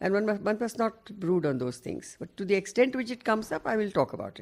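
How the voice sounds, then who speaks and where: The voice has vocal fry and lively intonation. It moves at a moderate pace. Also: woman. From India, Maharashtra and Bihar. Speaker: lawyer and activist. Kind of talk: oral history interview. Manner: halting.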